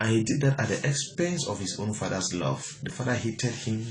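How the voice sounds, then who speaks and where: Somewhat breathy and medium in pitch, a man talks at a moderate pace amid audible room echo. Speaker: motivational speaker. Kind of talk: motivational talk.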